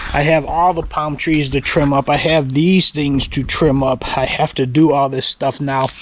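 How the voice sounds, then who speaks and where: Through noticeable background noise, a man with a fairly high pitch talks in a flat monotone at a moderate pace with hardly any pauses. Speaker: home vlogger. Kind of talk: casual vlog talk to camera. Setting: outdoors.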